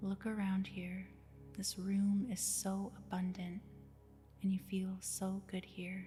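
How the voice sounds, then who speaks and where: A woman at a very slow pace with monotone, flat intonation and music in the background. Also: medium pitch for a woman. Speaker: hypnosis sleep-story narrator. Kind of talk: hypnosis sleep story narration. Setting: with background music. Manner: soft, slow, soothing.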